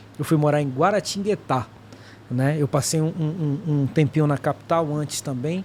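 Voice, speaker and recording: At a moderate pace and fairly high pitch, a man talks with ordinary pitch variation against noticeable background noise. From Manaus, Amazonas, northern Brazil. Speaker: former air force serviceman. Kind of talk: podcast interview.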